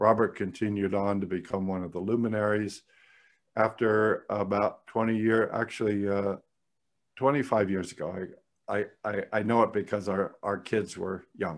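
The speech moves at a fairly slow pace in a monotone, flat intonation. The background is quiet. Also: man, fairly low pitch for a man. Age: 60s. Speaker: psychologist and psychotherapy trainer; psychotherapy trainer. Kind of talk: interview conversation. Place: home room. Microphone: studio mic.

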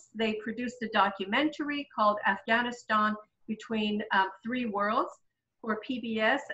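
In a quiet background, a woman with a bright, sharp tone talks at a fairly slow pace, with ordinary pitch variation. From Iran. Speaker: sociology professor and webinar moderator; sociology professor, webinar moderator. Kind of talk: moderated webinar discussion. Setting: video call. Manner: halting, many fillers. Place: home room. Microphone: webcam.

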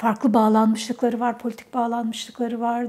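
This woman has a dark, mellow tone. She speaks at a moderate pace. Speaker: interviewee. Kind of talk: interview answer. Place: office. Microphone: lapel.

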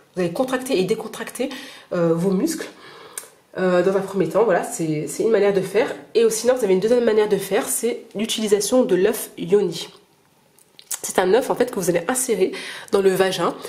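Over noticeable background noise, a woman of medium pitch speaks at a fairly quick pace with ordinary pitch variation and long, frequent pauses. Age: 30s. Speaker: video blogger. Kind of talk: personal testimony and advice monologue. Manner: halting, many fillers and repetitions.

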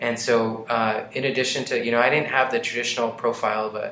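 The speaker has an American accent and talks at a very fast pace with monotone, flat intonation. Audible room echo and noticeable background noise run through the clip. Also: man. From Colorado, Adams County. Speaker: state senator. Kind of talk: interview.

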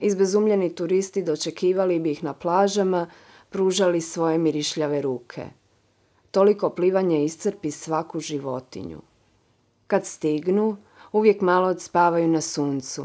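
On a very clean recording with a silent background, a woman with a dark, mellow tone speaks at a moderate pace in a fairly low pitch with fairly even intonation. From Croatia. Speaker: author reading her own short story. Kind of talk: dramatic narration of literary prose, reading aloud.

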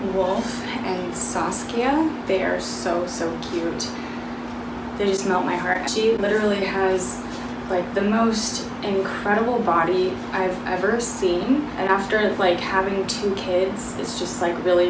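A woman speaks at a fairly slow pace while noticeable noise fills the background. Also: ordinary pitch variation. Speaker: fitness vlogger. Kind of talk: casual vlog chat. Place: home room.

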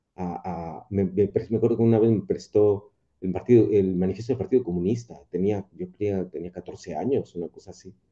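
Dark and mellow in tone, the voice moves at a moderate pace with hardly any pauses and fairly even intonation against a quiet background. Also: man, fairly low pitch for a man. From Mexico City, south (Contreras); Mexico City. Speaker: rock musician and professor; guest. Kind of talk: casual chat. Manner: halting. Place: home room. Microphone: earbuds.

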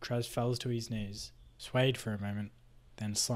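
Someone is reading aloud in a natural voice. The intonation stays fairly even.

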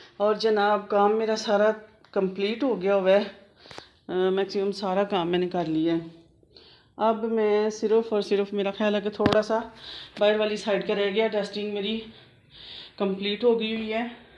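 In a monotone, flat intonation, a woman speaks fairly slowly. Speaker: homemaker vlogger. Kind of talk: casual vlog chat. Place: home room. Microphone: phone near.

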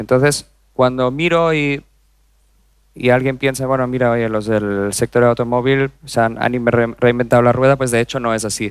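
At a moderate pace, a man speaks with fairly even intonation and long, frequent pauses, set in a quiet background with a dry sound and no echo. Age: 30s. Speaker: corporate digital executive; conference speaker. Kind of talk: conference talk. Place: stage. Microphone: headset.

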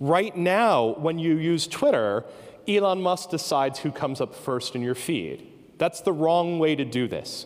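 With an American accent, the speaker uses lively intonation at a fairly slow pace. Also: man, high pitch for a man. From United States. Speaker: professor. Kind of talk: conference keynote talk. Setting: stage with audience. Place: stage. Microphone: handheld.

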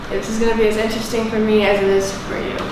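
A woman's voice in strong room echo, with noticeable background noise. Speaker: vlogger. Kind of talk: casual vlog chat. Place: home room. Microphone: camera far.

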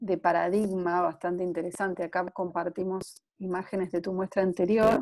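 The setting behind her is quiet. Her voice, a woman's, has a dark, mellow tone. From Argentina. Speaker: interviewer, web series host. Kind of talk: casual interview. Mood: warm, friendly. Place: home room. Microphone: earbuds.

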